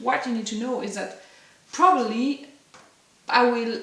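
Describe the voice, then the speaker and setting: In a French accent, a woman talks at a fairly slow pace and high pitch, with audible room echo and noticeable background noise. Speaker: ceramic artist. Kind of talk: casual tutorial vlog. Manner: halting.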